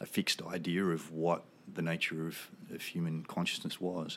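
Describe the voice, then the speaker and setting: A man with an Australian accent at a moderate pace, on a very clean recording with a silent background. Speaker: military veteran and psychedelic research advocate. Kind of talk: casual interview conversation.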